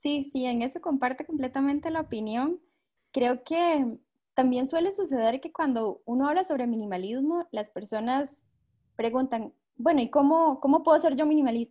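Against a quiet background, a woman with a high pitch and a dark, mellow tone speaks at a moderate pace with ordinary pitch variation. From Costa Rica. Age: 20s. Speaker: minimalism podcaster. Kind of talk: casual chat.

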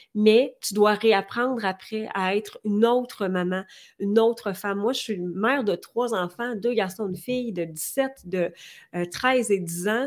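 The speech moves at a fairly slow pace with ordinary pitch variation, captured in a very clean recording over a silent background. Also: woman, fairly high pitch for a woman. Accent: Quebec. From Quebec. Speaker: entrepreneur and coach. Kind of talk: interview.

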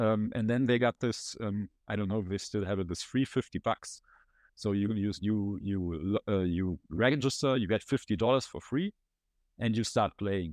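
A man with a German accent over a quiet background. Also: fairly low pitch for a man, ordinary pitch variation, moderate pace. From Germany. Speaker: former poker player and content manager. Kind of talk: casual interview.

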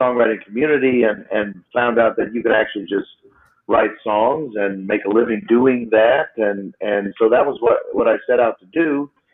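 A man at a medium pitch and moderate pace, with an unremarkable speaking voice. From Texas, Houston. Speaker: singer-songwriter. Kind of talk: casual chat.

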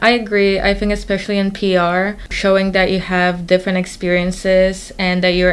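A woman's medium-pitched, flat, monotone voice at a moderate pace, over noticeable background noise. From Poland. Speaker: college student co-host. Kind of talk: casual chat.

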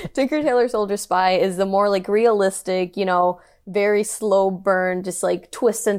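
At a moderate pace, a woman speaks at a medium pitch on a very clean recording with a silent background. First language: Spanish. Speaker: podcast host. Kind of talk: casual chat.

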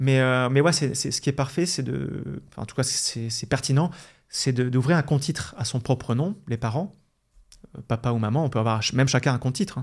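On a very clean recording with a silent background, a somewhat breathy man speaks at medium pitch and moderate pace with ordinary pitch variation. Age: 40s. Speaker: investment blogger and author. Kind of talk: interview.

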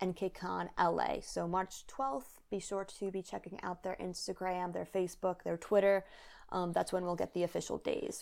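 In a very clean recording with a silent background, a woman talks at a moderate pace. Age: 20s. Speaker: podcast co-host. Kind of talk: casual chat.

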